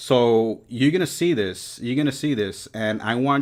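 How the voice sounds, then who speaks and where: A man speaks at a medium pitch with a New York accent. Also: very clean recording, silent background. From New York City. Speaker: reptile breeder and YouTuber. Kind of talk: live stream talk. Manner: casual, filler-heavy.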